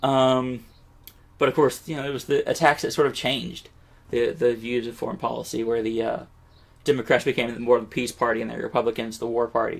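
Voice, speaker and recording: The delivery moves along fairly quickly. The intonation stays fairly even. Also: man, medium pitch for a man. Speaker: educational video creator. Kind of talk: unscripted educational monologue. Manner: halting, many fillers and restarts.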